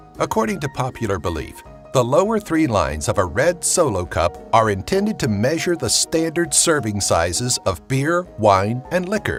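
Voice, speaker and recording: Music behind a man at medium pitch, his voice swinging very widely up and down, with hardly any pauses. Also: moderate pace. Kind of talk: top ten list narration.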